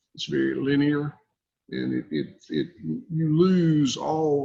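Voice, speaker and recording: A man speaks fairly slowly with a Southern US accent. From US South, south Georgia. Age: 60s. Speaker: cattle farmer. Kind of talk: podcast interview. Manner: halting.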